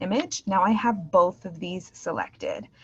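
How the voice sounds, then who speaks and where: The woman speaks fairly slowly. Her tone comes across as somewhat breathy. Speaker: teacher trainer. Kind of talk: virtual teacher training tutorial. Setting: video call.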